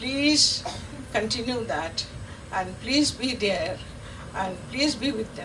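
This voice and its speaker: A woman speaks with lively intonation over noticeable background noise. Audible room echo surrounds her voice. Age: 80s+. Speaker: veteran Montessori teacher, award recipient. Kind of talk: acceptance speech. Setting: stage with audience. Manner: halting, repetitive.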